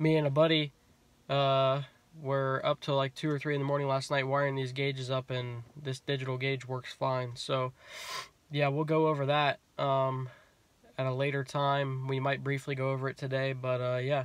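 A man speaks at a moderate pace in monotone, flat intonation. The sound is dry, without echo. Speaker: car hobby vlogger. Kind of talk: casual vlog chat. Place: car. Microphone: phone near.

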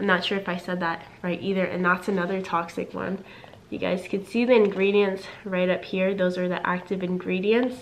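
A woman speaks at a medium pitch and a moderate pace. Her intonation is monotone and flat, and background noise is noticeable. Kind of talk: casual talk to camera.

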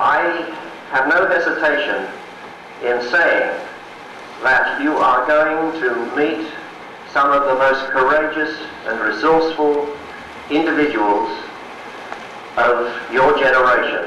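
A man speaks at a very slow pace with long, frequent pauses, very even loudness and fairly even intonation, with audible room echo and light background noise. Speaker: symposium moderator. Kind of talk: formal introduction speech. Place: hall.

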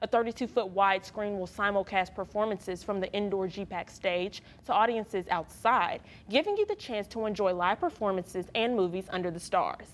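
A woman is speaking at a medium pitch. Her intonation is fairly even. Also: fairly quick pace. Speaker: news anchor. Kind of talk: TV news anchor read. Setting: studio. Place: studio. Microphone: lapel.

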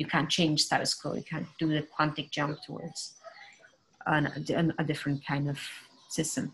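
A woman speaks at a very deep, low pitch in a monotone, flat intonation. Long, frequent pauses break her speech over light background noise. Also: moderate pace. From Brazil. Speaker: moderator and art writer; panelist. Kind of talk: panel discussion. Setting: video call. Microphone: video call.

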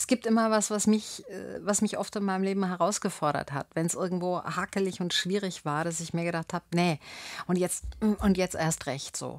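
A woman at medium pitch with fairly even intonation and a moderate pace, in a dry sound with no echo and a quiet background. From Bavaria, Landshut; Bavaria. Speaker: actress and spiritual coach; actress, spiritual coach. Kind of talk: radio interview. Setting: radio studio. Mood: reflective, warm. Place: studio. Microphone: studio mic.

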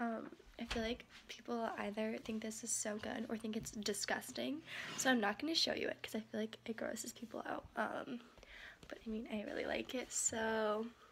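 A woman talks at a moderate speed, her intonation fairly even, while noticeable noise sounds behind her. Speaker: vlogger. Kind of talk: casual vlog chat. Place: kitchen. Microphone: phone near.

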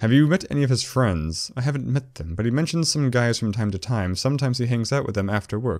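Intonation is lively as the words are read in a natural voice.

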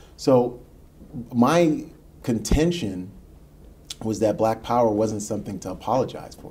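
Somewhat breathy and dark, mellow in tone, a man talks at a fairly slow pace with lively intonation, big swings in loudness and long, frequent pauses. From US Northeast, Queens, New York City; New York. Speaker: history professor and author; history professor. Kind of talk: radio interview. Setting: studio.

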